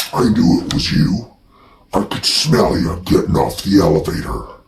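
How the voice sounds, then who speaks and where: A man puts on a character voice with a growling edge and a fairly low pitch. He keeps a moderate pace. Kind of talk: comic horror parody of old gangster film. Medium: comedy sketch. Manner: menacing, mocking, streetwise slang.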